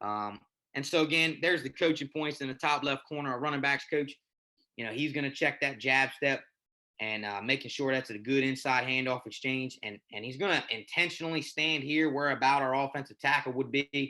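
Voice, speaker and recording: Against a quiet background, a man speaks at a fairly quick pace in a fairly high voice. His tone is bright and sharp, with ordinary pitch variation. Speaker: high school football coach. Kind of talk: coaching clinic presentation. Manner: fast; halting, repeats words.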